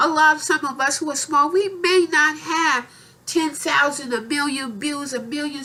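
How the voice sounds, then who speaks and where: A woman's raised, projected voice, high-pitched, at a fairly slow pace. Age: 60s. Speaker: YouTuber. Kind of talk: casual vlog monologue. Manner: repetitive, halting.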